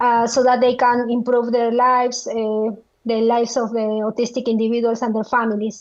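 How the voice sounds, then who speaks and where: A woman with a strong Spanish accent, fairly high pitch, monotone, flat intonation and a moderate pace. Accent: thick Spanish. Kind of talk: interview. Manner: halting, many fillers.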